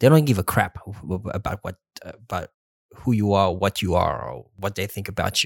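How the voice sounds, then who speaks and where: In a dry, close recording with no echo, a man speaks with lively intonation and vocal fry. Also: fairly low pitch for a man, fairly quick pace, big swings in loudness. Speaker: podcast host. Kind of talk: casual chat. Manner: halting.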